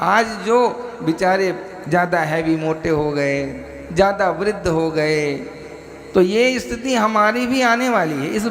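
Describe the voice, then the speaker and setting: Noticeable background noise behind a man's high-pitched voice. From Bihar, India. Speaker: spiritual preacher. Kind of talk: religious discourse.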